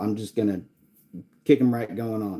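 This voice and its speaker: A man's voice with a dark, mellow tone comes through in an American accent. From US South, East Tennessee. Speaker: paranormal YouTuber. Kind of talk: casual live stream chat. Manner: halting, many fillers.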